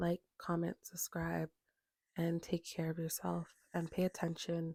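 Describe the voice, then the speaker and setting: At a fairly slow pace, a woman speaks in a somewhat breathy, dark and mellow tone at a fairly low pitch, the sound dry and close with no echo. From Canada. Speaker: astrology tarot reader. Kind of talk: casual monologue to camera.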